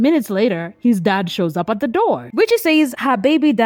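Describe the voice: The voice is plain reading aloud. It is delivered as plain reading aloud throughout.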